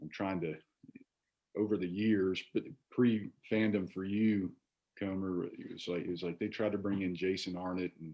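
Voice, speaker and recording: A man with a strong Virginia accent, very deep and low in pitch, with monotone, flat intonation at a moderate pace. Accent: heavy Virginia. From Virginia, Shenandoah Valley (Staunton). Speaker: former college baseball player. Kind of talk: casual chat. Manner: halting, many fillers and repeats.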